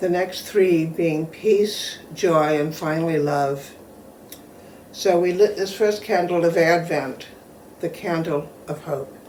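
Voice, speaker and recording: A woman with a fairly low pitch and fairly even intonation at a very slow pace, with audible room echo and noticeable background noise. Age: 70s. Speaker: pastor. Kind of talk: sermon; reading aloud.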